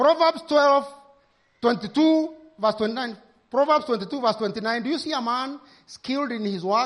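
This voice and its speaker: With a Kenyan accent, a man speaks at a very slow pace. His pitch is extremely high and swings very widely. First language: Kikuyu. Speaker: pastor. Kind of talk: sermon. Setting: church.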